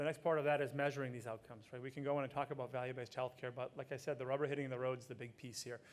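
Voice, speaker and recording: With an American accent, a man speaks very fast with hardly any pauses, in a medium pitch and a monotone, flat intonation. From US Northeast, Boston area. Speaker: healthcare program director. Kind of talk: conference talk.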